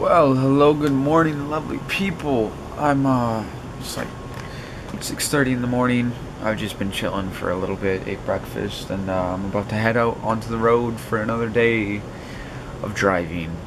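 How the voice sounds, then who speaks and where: A man speaks at a moderate pace amid noticeable background noise. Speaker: vlogger. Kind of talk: casual vlog chat. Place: home room. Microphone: phone near.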